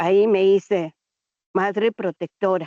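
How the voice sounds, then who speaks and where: A woman speaks at a very slow pace. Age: 60s. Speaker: abuse survivor and protective mother. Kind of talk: testimony.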